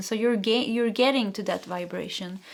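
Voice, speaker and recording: This woman speaks at a fairly quick pace, her fairly high voice carrying a Swedish accent. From Sweden. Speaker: tarot reader. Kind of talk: tarot reading. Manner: halting.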